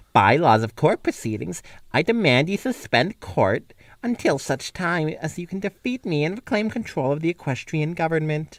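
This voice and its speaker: A man's put-on character voice, fairly high in pitch and at a moderate pace, on a very clean recording with a silent background. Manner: imperious, demanding.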